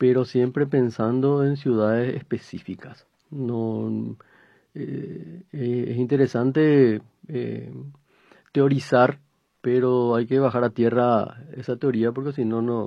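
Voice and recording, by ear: A man's slow, fairly evenly intoned speech at medium pitch, with vocal fry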